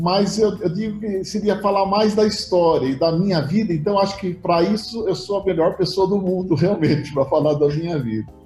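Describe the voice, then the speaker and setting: A dark, mellow tone at a moderate pace, with hardly any pauses and ordinary pitch variation. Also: man, high pitch for a man. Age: 60s. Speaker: insurance company director. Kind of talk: interview.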